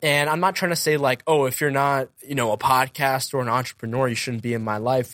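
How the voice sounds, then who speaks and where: A man with an unremarkable speaking voice in an American accent, medium pitch, ordinary pitch variation, fairly quick pace and hardly any pauses. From central Massachusetts. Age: 20s. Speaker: podcaster and entrepreneur. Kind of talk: interview conversation.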